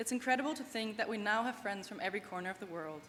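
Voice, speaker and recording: Speaking very fast with a German accent, a woman uses a fairly high pitch and ordinary pitch variation. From Germany, small town. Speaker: graduating student athlete. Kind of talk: commencement speech. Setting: stage with audience.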